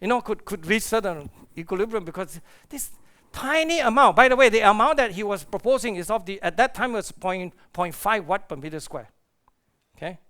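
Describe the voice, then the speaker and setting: Speaking in a raised, projected voice, a man talks fairly quickly with lively intonation and a high pitch. His tone is bright and sharp, and the recording is very clean with a silent background. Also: big swings in loudness. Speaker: astrophysicist. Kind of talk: conference lecture. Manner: fast; animated.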